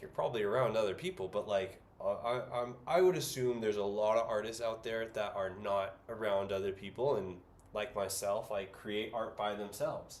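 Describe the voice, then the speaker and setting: Audible room echo around a man with an American accent, at a moderate pace. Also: medium pitch for a man, ordinary pitch variation. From US West Coast, San Francisco Bay Area. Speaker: artist and livestreamer. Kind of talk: casual livestream chat while painting. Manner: filler-heavy, hesitant.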